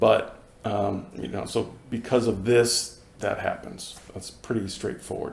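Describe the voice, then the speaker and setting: A man with an American accent, fairly slow and fairly even in intonation, with audible room echo and noticeable background noise. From US Northeast, Boston. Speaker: Zen practitioner giving dharma talk. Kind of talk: dharma talk. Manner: hesitant, many fillers.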